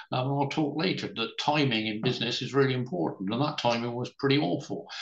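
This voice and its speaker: A man talks at a very fast pace with a medium pitch. His intonation is lively. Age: 70s. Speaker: entrepreneur. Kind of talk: interview. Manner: hesitant.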